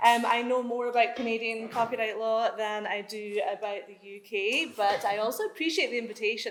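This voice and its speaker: Recorded with audible room echo, a woman speaks at a fairly high pitch in a Scottish accent. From Scotland. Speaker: law professor. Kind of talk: conference talk. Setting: conference room with audience.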